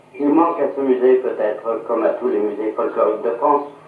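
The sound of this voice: Audible room echo surrounds a man speaking at a moderate pace. His pitch is medium, with ordinary variation.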